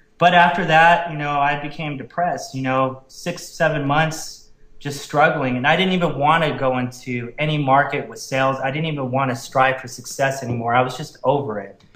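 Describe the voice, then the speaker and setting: There is noticeable background noise behind a man with a fairly high pitch. He barely pauses, and his loudness swings a lot. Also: fairly even intonation, fairly quick pace. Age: 30s. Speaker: network marketer. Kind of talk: interview testimony.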